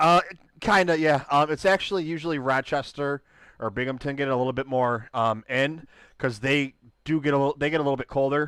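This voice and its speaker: With an American accent and a normal speaking voice, a man talks at a fairly high pitch and a fairly quick pace, with ordinary pitch variation, in a very clean recording with a silent background. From US, Buffalo, New York. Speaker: podcast host. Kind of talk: casual chat.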